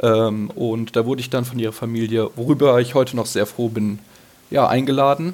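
Here a man talks at medium pitch. His pace is moderate and his intonation fairly even. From Hesse, near Darmstadt, Germany. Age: 20s. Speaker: listener guest, ski fan. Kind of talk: casual chat. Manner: halting, many fillers.

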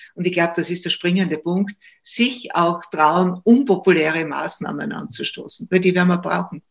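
Fairly low for a woman, her voice carries vocal fry as she speaks at a fairly slow pace. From Austria, Styria. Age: 70s. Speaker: retired judge and political commentator. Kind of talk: interview. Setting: video call.

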